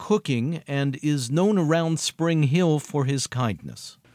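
Recorded very cleanly against a silent background with a dry, close sound and no echo, a man with an unremarkable speaking voice talks at a fairly slow pace with lively intonation. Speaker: public radio podcast host. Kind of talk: documentary narration.

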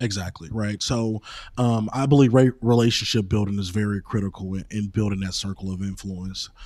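An ordinary speaking voice from a man with an American accent, fairly quick and fairly even in intonation. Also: fairly low pitch for a man. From East St. Louis, Illinois. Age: 30s. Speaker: city manager and lawyer. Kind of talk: interview. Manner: frequent filler ums.

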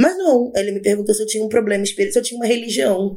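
A woman speaks in a dark, mellow tone. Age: 30s. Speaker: agile project manager. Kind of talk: casual chat.

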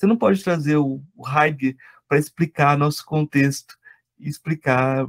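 At a fairly slow pace, a man with an unremarkable speaking voice talks at a fairly high pitch in a dry, close sound with no echo. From Brazil, Goiás. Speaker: podcast host and law lecturer. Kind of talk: interview conversation.

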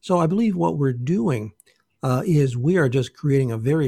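A man's medium-pitched voice, dark and mellow in tone and somewhat breathy, with lively intonation, a moderate pace, and a dry, close sound with no echo on a very clean recording against a silent background. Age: 60s. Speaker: naturopath. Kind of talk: interview, explanatory talk.

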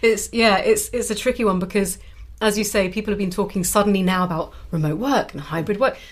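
A woman's medium-pitched voice comes across somewhat breathy, with ordinary pitch variation. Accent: British. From Britain. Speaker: author and web psychologist. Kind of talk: interview.

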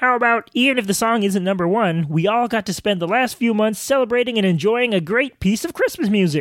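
In a cartoonish character voice, the speaker rattles along at a fairly quick pace with hardly any pauses. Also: man, high pitch for a man. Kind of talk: comic puppet impression. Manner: earnest, sweetly hopeful.

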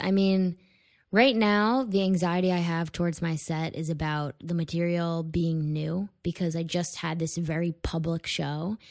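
In an unremarkable speaking voice, a woman with an American accent speaks at a fairly low pitch with ordinary pitch variation over a very clean, silent background. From Connecticut, US. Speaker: stand-up comedian. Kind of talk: casual chat.

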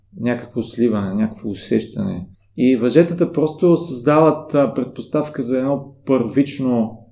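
The man's tone is dark and mellow. He speaks at a very slow pace with ordinary pitch variation. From Bulgaria. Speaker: shibari teacher. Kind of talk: casual interview. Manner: hesitant, many fillers.

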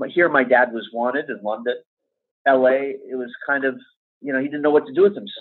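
With an American accent, a man talks in an ordinary speaking voice at medium pitch, showing ordinary pitch variation and big swings in loudness. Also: fairly quick pace. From Los Angeles, US. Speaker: composer. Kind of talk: interview. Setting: at home.

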